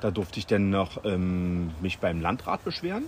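This man has a plain, everyday voice pitched fairly low. He speaks at a moderate pace. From Berlin, Germany. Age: 40s. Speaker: local resident and petition initiator. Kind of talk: interview. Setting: recorded while on holiday in Sardinia.

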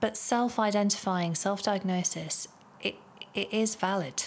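A woman's fairly even intonation accompanies her fairly slow delivery. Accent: British. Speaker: podcast host and psychotherapist. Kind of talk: scripted podcast monologue.

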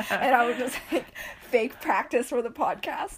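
There is noticeable noise in the background. The speech comes fairly quickly. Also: woman. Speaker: podcast host. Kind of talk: casual, conversational. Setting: podcast recording. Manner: fast talker.

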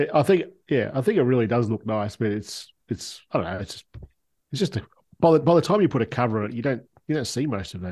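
With an Australian accent, a man speaks at a very fast pace. His pitch swings very widely over a quiet background. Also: medium pitch for a man. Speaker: smartphone photographer. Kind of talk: casual chat.

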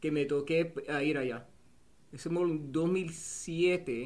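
Audible room echo surrounds a very slow delivery in an English accent. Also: man. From New Jersey, US, Cuban family. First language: English (speaking Spanish). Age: 30s. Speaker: war veteran and football coach. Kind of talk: casual interview chat.

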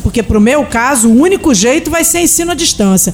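Through noticeable background noise, a woman speaks in a high pitch with lively intonation. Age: 50s. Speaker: radio co-host. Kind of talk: casual radio chat and interview.

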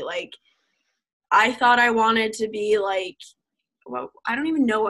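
A woman with an American accent, bright and sharp in tone, at a moderate pace. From US Northeast, New Jersey. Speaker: college ice hockey player. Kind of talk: casual interview.

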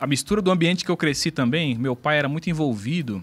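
A man with a normal speaking voice, lively intonation and a fairly quick pace, on a very clean recording with a silent background. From São Paulo, Brazil (south zone). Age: 40s. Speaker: pastor. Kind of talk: testimony.

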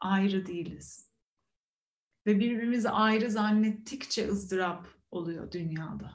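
A woman's somewhat breathy, medium-pitched voice at a fairly slow pace, with ordinary pitch variation and a calm tone. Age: 30s. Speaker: meditation teacher. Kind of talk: meditation talk. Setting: video call. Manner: calm, reflective with hesitations.

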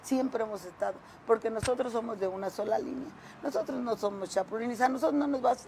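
Noticeable background noise sits behind a woman speaking at a fairly quick pace. Her pitch is fairly high, with ordinary variation. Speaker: local political leader of a social organization. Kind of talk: interview.

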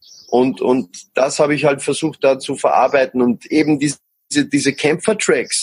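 Captured dry and close with no echo, a man speaks in a somewhat breathy voice at a fairly high pitch. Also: ordinary pitch variation, moderate pace. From Austria. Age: 20s. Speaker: musician. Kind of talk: interview. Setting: podcast.

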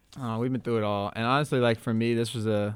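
Pitched fairly low, the man talks with an American accent. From Minneapolis, US Midwest. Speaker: podcast co-host. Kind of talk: casual chat. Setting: studio.

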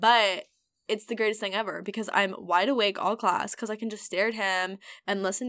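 This speaker has an American accent and an animated, bright, sharp tone, moving at a fairly quick pace. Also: woman. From US South, then Washington state. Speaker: podcast host. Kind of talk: casual chat. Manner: animated, joking, laughs often.

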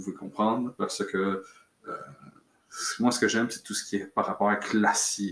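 A man talks with a Quebec accent, his loudness swinging widely. He leaves long, frequent pauses. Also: moderate pace. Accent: Québécois French. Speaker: podcaster on fencing and martial arts. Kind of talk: solo casual monologue. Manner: halting, many fillers.

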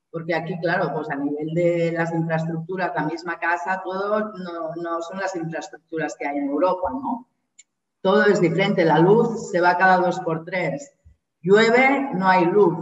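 A woman talks at a fairly slow pace in a normal speaking voice. Her pitch is fairly low, with ordinary pitch variation. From Spain, Barcelona. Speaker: Spanish teacher. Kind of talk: interview.

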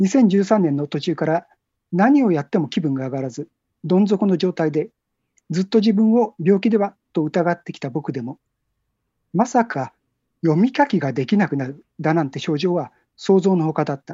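This woman's voice sits fairly low and swings very widely in pitch. She keeps a moderate pace. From Tokyo area, Japan. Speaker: book cover designer. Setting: phone call.

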